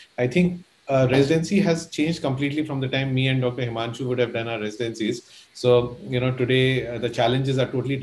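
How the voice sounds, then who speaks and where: Speaking at a very fast pace, the man shows ordinary pitch variation. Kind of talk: welcome remarks. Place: home room.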